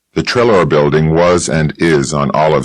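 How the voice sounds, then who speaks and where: Speaking at a fairly slow pace, a man uses a very deep, low pitch. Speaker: audiobook narrator. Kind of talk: hard-boiled detective novel narration.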